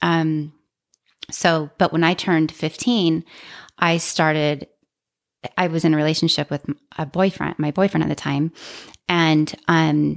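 A woman with an American accent and a very deep, low pitch speaks in a monotone, flat intonation at a fairly slow pace with long, frequent pauses, the sound dry and close with no echo on a very clean recording with a silent background. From Utah. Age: 40s. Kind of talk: casual interview, personal story.

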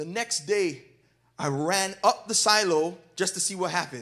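A man's high voice comes across bright, sharp, and animated. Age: 30s. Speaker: pastor. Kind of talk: sermon.

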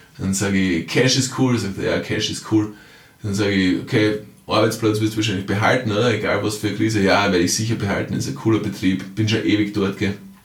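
A man talks very fast with fairly even intonation, and audible echo fills the room. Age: 40s. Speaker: time management coach and author. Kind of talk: podcast monologue. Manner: conversational with frequent fillers.

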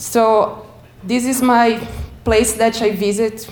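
A woman with a Portuguese accent and fairly even intonation, against noticeable background noise. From Brazil. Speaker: community cycling advocate. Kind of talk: presentation. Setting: stage with audience.

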